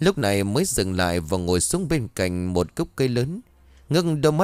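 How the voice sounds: Here the reading voice sounds natural.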